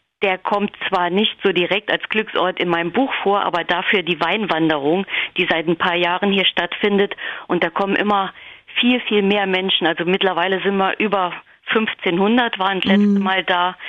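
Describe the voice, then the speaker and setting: A woman's normal speaking voice at a medium pitch, moderately paced, with fairly even intonation and very even loudness. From Hunsrück, Rhineland-Palatinate, Germany. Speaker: newspaper editor and author. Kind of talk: interview.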